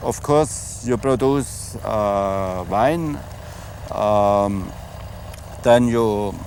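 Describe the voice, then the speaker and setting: A man with a German accent and ordinary pitch variation, amid noticeable background noise. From Germany. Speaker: winemaker. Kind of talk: interview. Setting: outdoors in a vineyard.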